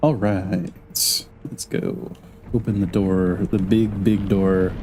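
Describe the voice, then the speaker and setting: Against noticeable background noise, a man talks at a very slow pace and fairly low pitch, with ordinary pitch variation. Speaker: vtuber streamer. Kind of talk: live game streaming commentary. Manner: casual, hesitant with fillers; soft-spoken.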